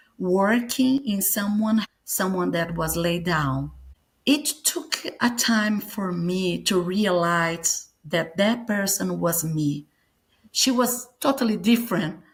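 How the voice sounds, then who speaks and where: In a Brazilian accent, a woman speaks very slowly at a medium pitch, somewhat breathy, with lively intonation. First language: Portuguese. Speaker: near-death experience survivor and author. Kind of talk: interview testimony. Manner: halting, searching for English words.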